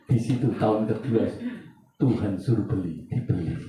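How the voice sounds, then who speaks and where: Somewhat breathy and fairly low-pitched, a man talks at a moderate pace with ordinary pitch variation and very even loudness, with audible room echo around him. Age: 60s. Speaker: pastor. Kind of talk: sermon. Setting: church.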